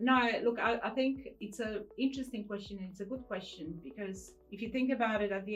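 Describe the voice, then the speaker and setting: With music in the background, a woman talks at a very fast pace. Her pitch is fairly high, with ordinary variation. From Poland. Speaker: entrepreneur. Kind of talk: interview.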